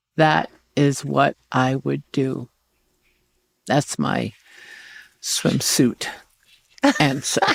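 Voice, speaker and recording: A woman in an American accent, very slow, with long, frequent pauses, in a dry, close sound with no echo. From New York City, the Bronx. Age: 70s. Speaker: chef. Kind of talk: casual interview. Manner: animated.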